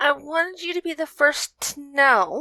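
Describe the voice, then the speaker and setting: A woman puts on a character voice, pitched high and delivered at a medium rate. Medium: read story.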